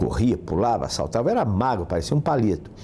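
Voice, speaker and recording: A man's medium-pitched voice with vocal fry and a dark, mellow tone. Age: 60s. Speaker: physical education professor. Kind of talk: interview.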